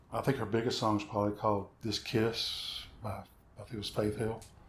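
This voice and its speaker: A man's somewhat breathy, fairly low voice at a moderate pace, with monotone, flat intonation. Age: 60s. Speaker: session guitarist. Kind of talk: casual chat.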